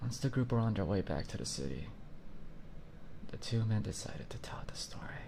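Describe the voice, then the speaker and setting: Whispering at a fairly quick pace, a man leaves long, frequent pauses. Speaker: virtual YouTuber. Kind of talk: horror story reading. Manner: soft, ASMR-style whispered.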